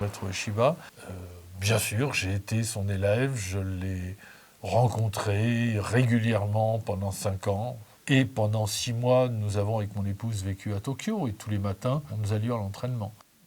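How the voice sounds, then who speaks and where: Somewhat breathy and fairly even in intonation, this voice moves at a fairly slow pace. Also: man, fairly low pitch for a man. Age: 80s+. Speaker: aikido teacher. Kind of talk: interview testimony; martial arts instruction.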